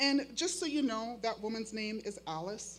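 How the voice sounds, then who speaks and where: A woman with an American accent uses lively intonation. Music plays in the background. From Makah reservation, Neah Bay, Washington. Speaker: high school teacher. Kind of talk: keynote speech.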